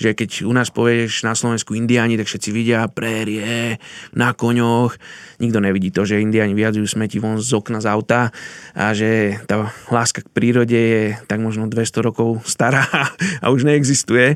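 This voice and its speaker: A man talks at medium pitch with monotone, flat intonation. The sound is dry and close, with no echo. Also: moderate pace. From Slovakia. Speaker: missionary. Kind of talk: interview, personal story.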